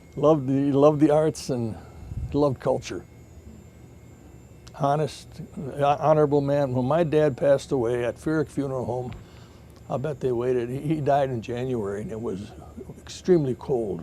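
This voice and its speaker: Pausing long and often, a man with an American accent speaks at a moderate pace in a fairly high pitch with a dark, mellow tone. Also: ordinary pitch variation. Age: 70s. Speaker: longtime grocery store owner. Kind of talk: interview, personal reminiscence. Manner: halting.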